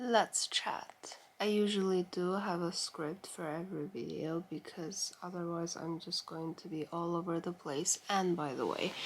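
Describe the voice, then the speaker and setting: A woman with a non-native accent speaks at fairly low pitch. Her pace is fairly slow and her intonation fairly even. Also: hardly any pauses. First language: not English. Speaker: vlogger. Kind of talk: casual chat. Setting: bedroom, late at night. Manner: rambling, informal.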